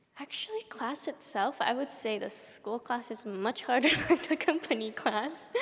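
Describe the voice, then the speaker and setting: A woman with a Japanese accent talks at a high pitch with ordinary variation and hardly any pauses, over noticeable background noise. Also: moderate pace. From Japan, then Southern California from age 13. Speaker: ballet dancer. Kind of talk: interview before a live audience. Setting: stage with audience in an opera house.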